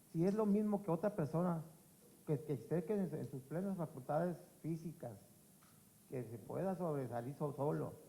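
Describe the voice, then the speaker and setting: A man speaks with lively intonation. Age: 60s. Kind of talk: public forum testimony. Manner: halting, with repetitions.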